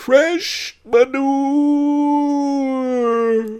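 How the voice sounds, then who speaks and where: This is a put-on character voice, pitched high. It sounds shaky. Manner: melancholy.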